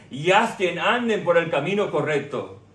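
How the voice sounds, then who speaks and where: A man at a high pitch and fairly slow pace, with ordinary pitch variation, over noticeable background noise. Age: 60s. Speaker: pastor. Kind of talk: sermon.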